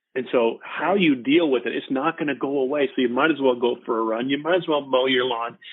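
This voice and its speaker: Here is a man with an American accent and an unremarkable speaking voice, pitched at a medium level. He keeps a moderate pace and ordinary pitch variation. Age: 60s. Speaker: retired army officer. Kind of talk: casual interview.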